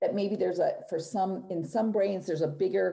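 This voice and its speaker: A woman speaks with a dark, mellow tone and some vocal fry. Her pitch varies in an ordinary way over a quiet background. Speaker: neuropsychologist presenter. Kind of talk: clinical, explanatory.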